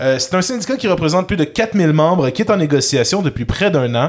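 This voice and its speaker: With a Quebec accent, a man speaks in an animated tone and lively intonation. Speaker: podcast co-host. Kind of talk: casual chat.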